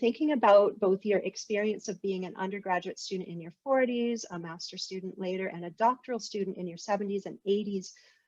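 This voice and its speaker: A plain, everyday voice, fairly quick with hardly any pauses, with ordinary pitch variation and big swings in loudness. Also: woman, medium pitch for a woman. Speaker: interviewer, academic. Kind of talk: interview questions.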